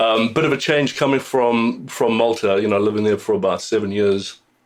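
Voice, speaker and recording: A man speaks at a fairly slow pace with a slight South African accent. His pitch varies in an ordinary way. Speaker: singer-songwriter. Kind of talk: radio interview. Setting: radio studio. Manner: halting, many fillers.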